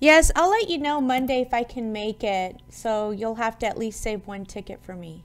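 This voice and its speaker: An ordinary speaking voice at a moderate pace, with lively intonation, big swings in loudness and hardly any pauses. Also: woman, fairly high pitch for a woman. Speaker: radio show host. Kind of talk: radio interview, host questions.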